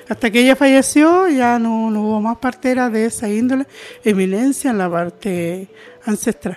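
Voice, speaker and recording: With noticeable background noise around her, a woman speaks at a moderate pace in a fairly high pitch with lively intonation. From southern Chile, Mapuche rural community. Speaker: intercultural educator. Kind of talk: interview testimony.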